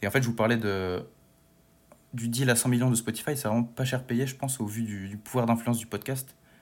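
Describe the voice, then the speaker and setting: In a very clean recording with a silent background, a man speaks at a fairly quick pace and medium pitch in an unremarkable speaking voice, with fairly even intonation. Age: 20s. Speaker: history student and podcast columnist. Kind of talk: casual chat.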